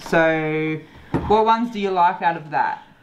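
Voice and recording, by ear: A woman talks slowly at a low pitch with ordinary pitch variation. The room echo is audible.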